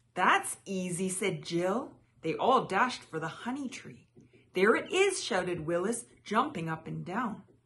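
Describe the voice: Lively intonation over plain reading aloud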